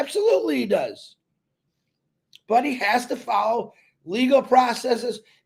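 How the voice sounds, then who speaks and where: A loud man's voice, extremely high in pitch, with lively intonation. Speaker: network marketing promoter. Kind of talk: live stream talk. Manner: animated.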